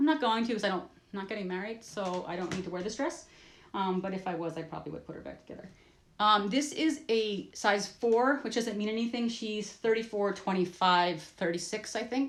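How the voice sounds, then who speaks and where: A woman at a fairly quick pace, lively intonation and big swings in loudness. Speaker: vintage fashion collector. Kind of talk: instagram live show-and-tell. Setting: livestream. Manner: fast; animated.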